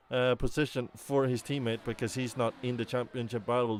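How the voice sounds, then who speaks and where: With a non-native accent, a man talks at a moderate speed. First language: not English. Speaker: sim racing commentator. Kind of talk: live commentary. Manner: animated.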